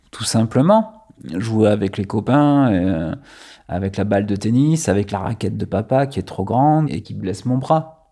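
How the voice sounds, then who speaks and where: Fairly low in pitch, a man speaks at a fairly slow pace with a dark, mellow tone and ordinary pitch variation. The recording is very clean, with a silent background. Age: 30s. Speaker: former culture journalist, hemophilia patient. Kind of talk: personal testimony interview. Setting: at his home. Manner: hesitant, many fillers.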